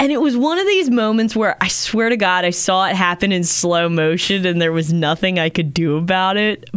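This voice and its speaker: A woman with an American accent at medium pitch and moderate pace, hardly any pauses, ordinary pitch variation and very even loudness, over noticeable background noise. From Maryland. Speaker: radio host. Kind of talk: casual chat.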